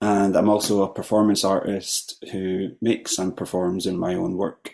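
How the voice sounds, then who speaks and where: An unremarkable speaking voice from a man, fairly low in pitch, at a fairly slow pace. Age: 40s. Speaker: panel facilitator, cellist and composer. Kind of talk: online panel discussion. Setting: video call.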